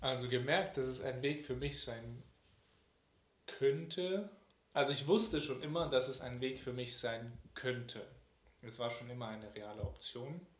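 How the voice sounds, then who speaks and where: With audible room echo, a man at a medium pitch talks fairly slowly in a somewhat breathy voice, using lively intonation and long, frequent pauses. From Germany, Cologne. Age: 20s. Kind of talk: interview.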